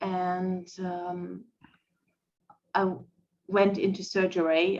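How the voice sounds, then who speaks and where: A woman with a German accent speaks at a fairly low pitch in a monotone, flat intonation. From Germany. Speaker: podcast guest. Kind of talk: personal testimony in a podcast interview. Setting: live-streamed podcast. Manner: halting, many fillers.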